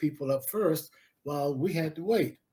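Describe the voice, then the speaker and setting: Somewhat breathy and dark, mellow in tone, a man with an American accent speaks at a moderate pace and a fairly high pitch with lively intonation. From Central Florida, US South. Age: 80s+. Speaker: historian and professor. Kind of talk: interview.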